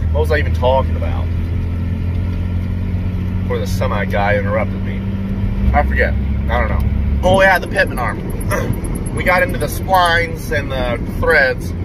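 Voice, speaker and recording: The man talks at a moderate pace with long, frequent pauses. The sound is dry with no echo, under loud background noise. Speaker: truck owner vlogger. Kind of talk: casual vlog chat. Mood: relaxed, joking. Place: car. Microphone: phone near.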